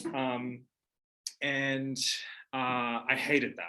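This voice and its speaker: A man's medium-pitched voice with an Australian accent, bright and sharp in tone, delivered in a flat monotone. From Australia, Toowoomba, Queensland. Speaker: witchcraft teacher and author. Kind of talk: casual monologue. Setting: at home. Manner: hesitant with fillers.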